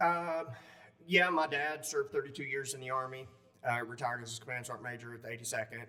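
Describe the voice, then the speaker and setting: With a Southern US accent, a man of medium pitch talks at a very fast pace with big swings in loudness, amid audible room echo. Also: ordinary pitch variation. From upstate South Carolina. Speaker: war veteran. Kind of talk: interview. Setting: conference.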